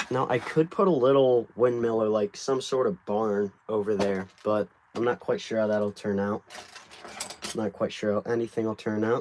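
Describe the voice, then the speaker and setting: A man's fairly low voice with an American accent, fairly even intonation and noticeable background noise. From United States. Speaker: brick builder livestreamer. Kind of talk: casual livestream chat while building.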